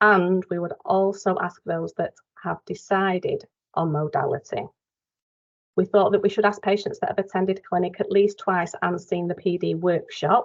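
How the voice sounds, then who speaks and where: A woman speaks with a Mancunian accent. The sound is dry and close, with no echo. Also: moderate pace. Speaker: dialysis nurse presenting a quality improvement project. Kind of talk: project update presentation in online workshop. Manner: hesitant, many fillers.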